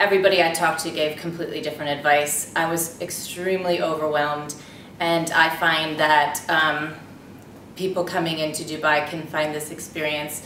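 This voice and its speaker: Her very deep, low voice carries an American accent and a monotone, flat intonation at a moderate pace. The woman is heard with audible room echo and noticeable background noise. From United States. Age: 30s. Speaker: expat mother in casting video. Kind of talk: personal introduction to camera. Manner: casual with frequent fillers.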